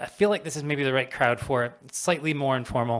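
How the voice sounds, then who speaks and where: Speaking at a very fast pace, a man talks. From Canada. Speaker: charity partnerships manager. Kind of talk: public talk. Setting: stage with audience.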